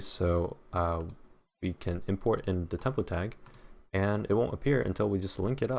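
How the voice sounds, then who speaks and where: A man takes a fairly slow pace, recorded very cleanly against a silent background. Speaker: web developer. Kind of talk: coding tutorial walkthrough. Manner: casual, many filler words.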